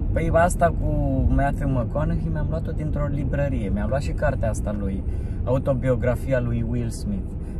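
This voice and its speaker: A fairly slow pace over loud background noise. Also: man, dry sound with no echo. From Romania. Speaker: stand-up comedian. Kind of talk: casual chat. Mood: joking, playful. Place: car. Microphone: phone near.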